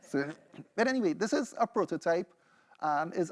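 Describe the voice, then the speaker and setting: A man with a high pitch and a Trinidadian accent, lively intonation at a moderate pace, in a very clean, silent-background recording with a dry, close sound and no echo. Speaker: PhD researcher and music producer. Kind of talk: seminar presentation with demo.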